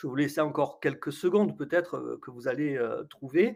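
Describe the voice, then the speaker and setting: This man's voice is fairly high for a man, and his delivery keeps a moderate pace. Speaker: coach running a webinar. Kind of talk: live webinar presentation. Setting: online webinar. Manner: hesitant, many fillers.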